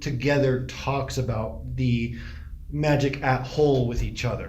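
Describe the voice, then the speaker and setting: A man talks over noticeable background noise, with audible room echo. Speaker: podcast co-host. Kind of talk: casual chat. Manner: fast.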